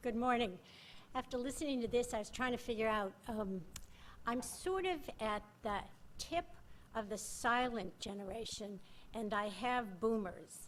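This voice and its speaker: A woman's fairly high, lively voice at a fairly slow pace, with long, frequent pauses and audible room echo. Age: 70s. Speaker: retired volunteer, senior fellow. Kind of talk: conference panel talk. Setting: conference stage with audience.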